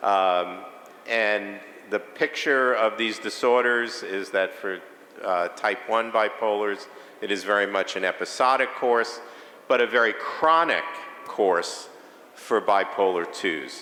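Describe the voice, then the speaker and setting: The speech comes at a very slow pace with a New York accent. Noticeable background noise and audible room echo surround it. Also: man, fairly low pitch for a man, ordinary pitch variation. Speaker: psychiatrist, conference speaker. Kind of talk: lecture. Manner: hesitant, many filler sounds.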